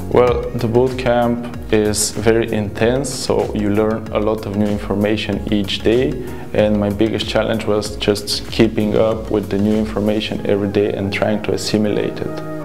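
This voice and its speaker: Over clear music in the background, a man with a fairly low pitch talks with hardly any pauses. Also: moderate pace. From Bulgaria. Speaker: software developer. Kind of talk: interview answer. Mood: friendly, upbeat. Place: studio. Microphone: lapel.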